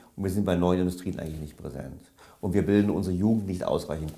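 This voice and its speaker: A man speaks with a very deep, low pitch and a dark, mellow tone. His intonation stays fairly even, and the room echo is audible. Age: 50s. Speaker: economist and author. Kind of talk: interview. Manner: hesitant fillers.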